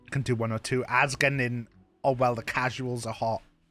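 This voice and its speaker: A man's voice comes at a fairly slow pace. Background music runs underneath. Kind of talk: casual streamer talk to camera. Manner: casual, conversational.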